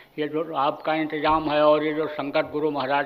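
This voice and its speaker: In a room with audible echo, a man talks at a moderate pace with a fairly high pitch and monotone, flat intonation. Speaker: spiritual guru. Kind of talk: sermon. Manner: forceful.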